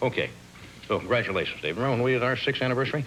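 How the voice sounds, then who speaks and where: A man at a medium pitch speaks at a very fast pace against noticeable background noise. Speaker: talk show host. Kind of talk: talk show monologue and interview.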